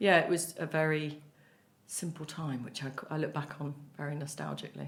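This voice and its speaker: Her pitch very deep and low with vocal fry, a woman talks at a fairly quick pace with fairly even intonation and big swings in loudness. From Merseyside, north-west England. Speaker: playwright and cancer survivor. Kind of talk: podcast interview. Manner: fast.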